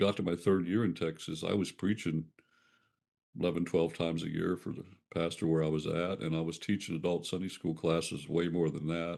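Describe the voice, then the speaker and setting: Against a quiet background, a man with an American accent speaks at a fairly quick clip in a very deep, low voice with a dark, mellow tone. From US Appalachia, Ohio River foothills. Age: 70s. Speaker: retired pastor. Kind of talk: interview conversation. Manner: halting, many fillers.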